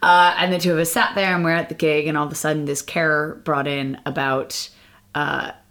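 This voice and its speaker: A woman speaks with a Boston accent and a very deep, low pitch. Her pitch varies in an ordinary way. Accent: American, Boston-area. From Boston, US. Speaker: amateur stand-up comedian.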